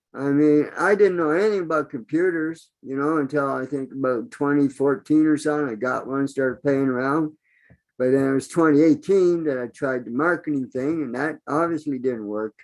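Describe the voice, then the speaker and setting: With a normal speaking voice, a man talks at a moderate pace and a fairly high pitch, with ordinary pitch variation. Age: 60s. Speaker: online business member. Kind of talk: open mic testimony.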